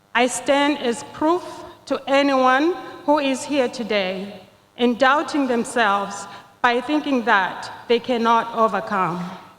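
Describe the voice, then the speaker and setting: Amid noticeable background noise, a woman speaks very slowly in a high pitch with ordinary pitch variation. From Zimbabwe. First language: not English, a Zimbabwean language. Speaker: nursing graduate, commencement speaker. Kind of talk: commencement speech. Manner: formal.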